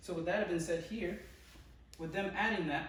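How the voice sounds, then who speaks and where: Audible room echo and noticeable background noise surround a man speaking at a fairly high pitch. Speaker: student presenter. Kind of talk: tutorial.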